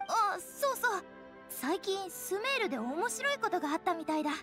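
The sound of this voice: A woman uses a cartoonish character voice, extremely high with big pitch swings and a bright, sharp tone. She goes at a moderate pace over faint background music.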